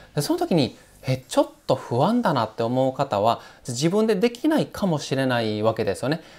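Very wide pitch swings in a fairly high male voice. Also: moderate pace. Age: 30s. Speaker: financial planner. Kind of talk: tutorial. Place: home room. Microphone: lapel.

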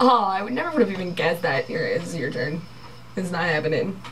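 Over light background noise, a woman with a fairly low pitch talks at a very fast pace with lively intonation. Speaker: vlogger playing a game. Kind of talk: casual game play with friends. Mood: playful, laughing. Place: home room. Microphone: camera far.

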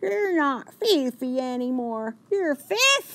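In a put-on character voice, a female-sounding speaker talks at a very slow pace with a high pitch. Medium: read story. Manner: warm, encouraging.

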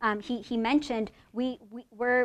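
With an ordinary speaking voice, a woman talks at a moderate pace and keeps her intonation fairly even. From Oregon, US (born in Mexico). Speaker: professor. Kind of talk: lecture. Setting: stage with audience. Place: hall. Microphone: lapel.

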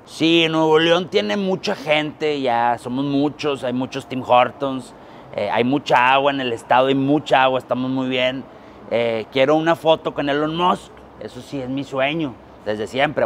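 With light background noise behind him, a man talks at a fairly slow pace with ordinary pitch variation. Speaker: comedian playing a politician. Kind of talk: comedic interview answer. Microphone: lapel.

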